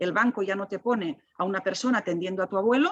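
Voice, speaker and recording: The woman's intonation is lively. Her voice sits at a medium pitch. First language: Catalan (speaking Spanish). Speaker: technology ethics expert. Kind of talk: panel discussion. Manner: animated; halting.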